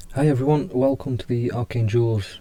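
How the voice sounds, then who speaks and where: A man talks quietly in a dark, mellow tone with fairly even intonation. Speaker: indie game developer. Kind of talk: casual tutorial walkthrough.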